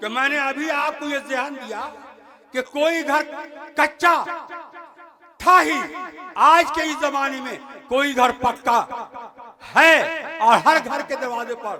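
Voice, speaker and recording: Raising and projecting his voice at an extremely high pitch, a man speaks with ordinary pitch variation, big swings in loudness and long, frequent pauses over noticeable background noise. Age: 70s. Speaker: religious speaker. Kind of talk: public speech. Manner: halting.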